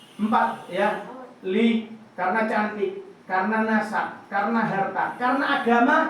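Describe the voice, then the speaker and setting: An animated voice in a Surabaya accent moves at a moderate pace. Noticeable background noise and audible room echo fill the recording. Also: man. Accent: Surabaya Javanese. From Surabaya, East Java, Indonesia. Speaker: preacher. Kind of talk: sermon.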